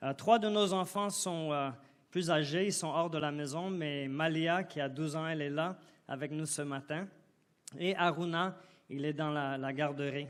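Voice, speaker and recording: A man with a fairly high pitch speaks at a fairly slow pace with fairly even intonation. The recording is very clean, with a silent background. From Côte d'Ivoire. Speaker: guest preacher. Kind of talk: sermon. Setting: church. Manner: halting.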